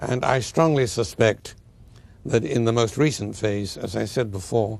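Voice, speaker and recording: A man's medium-pitched voice with vocal fry. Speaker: historian. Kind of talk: interview answer.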